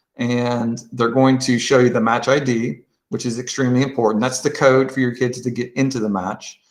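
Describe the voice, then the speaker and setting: At a moderate pace with hardly any pauses, a man talks in a medium pitch with fairly even intonation, audible room echo and a quiet background. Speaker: quiz bowl coach and trainer; presenter training coaches. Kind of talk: tutorial. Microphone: video call.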